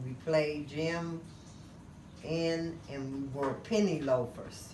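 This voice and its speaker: Speaking at a very slow pace in a Detroit accent, a woman has a very deep, low pitch and fairly even intonation, with audible room echo and noticeable background noise. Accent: Detroit American English. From US Midwest, Detroit, Michigan. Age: 60s. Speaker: grandparent being interviewed. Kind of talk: family interview.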